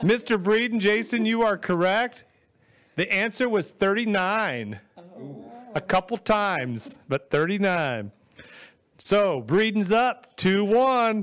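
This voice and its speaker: A man speaks at a very slow pace with long, frequent pauses and a high pitch. His background is quiet. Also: ordinary pitch variation. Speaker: quiz host. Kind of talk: game show hosting. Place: studio. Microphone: handheld.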